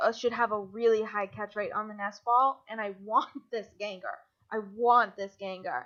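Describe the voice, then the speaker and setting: This woman's voice sits at a fairly high pitch. She moves at a moderate pace with an animated tone. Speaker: video game streamer. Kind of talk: gameplay commentary. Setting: live stream.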